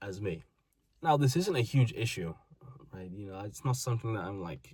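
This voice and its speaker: A man talks at a fairly quick pace. His voice is fairly low and somewhat breathy. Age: 20s. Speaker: vlogger. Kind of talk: personal monologue.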